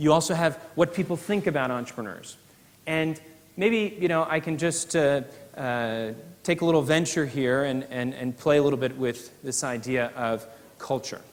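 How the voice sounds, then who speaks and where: A man with an American accent, his pitch fairly high, at a moderate pace with ordinary pitch variation, over noticeable background noise. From US, New York City. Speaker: professor. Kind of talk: keynote speech. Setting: conference stage with audience. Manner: hesitant, many filler uhs.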